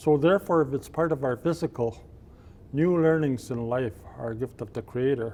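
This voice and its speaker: With a dark, mellow tone at a medium pitch, a man speaks at a moderate pace with ordinary pitch variation. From Cree reserve, Alberta, Canada. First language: Cree. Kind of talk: blessing and invocation.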